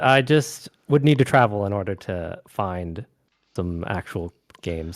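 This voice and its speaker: A man with an American accent speaks with very wide pitch swings. The recording is very clean, the background silent. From US West Coast. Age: young. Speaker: gamer and streamer. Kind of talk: casual chat.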